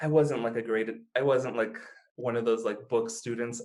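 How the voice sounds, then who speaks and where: A man speaks with an American accent at a fairly quick pace. His is a plain, everyday voice at medium pitch. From United States. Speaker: language learner, YouTuber. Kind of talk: podcast interview answer. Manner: casual, relaxed.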